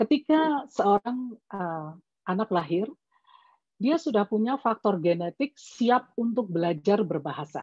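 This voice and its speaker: Somewhat breathy and at medium pitch, a woman with a Javanese accent speaks at a fairly slow pace with very wide pitch swings. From Java, Yogyakarta (Batak family). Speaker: parenting expert, doctor. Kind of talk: webinar talk. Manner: measured, explanatory.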